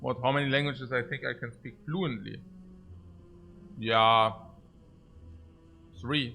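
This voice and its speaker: Over music in the background, a man talks at a fairly slow pace with a German accent. His pitch is medium with ordinary variation, and his pauses are long and frequent. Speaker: video game streamer. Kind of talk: casual livestream chat with viewers. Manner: halting, repeats words.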